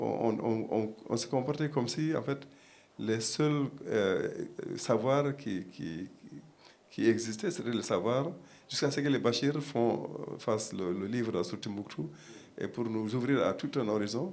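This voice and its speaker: The speaker moves at a fairly slow pace with lively intonation and long, frequent pauses. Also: man. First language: Pulaar (speaking French). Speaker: panel guest, academic. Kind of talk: panel discussion. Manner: halting, many repetitions and fillers.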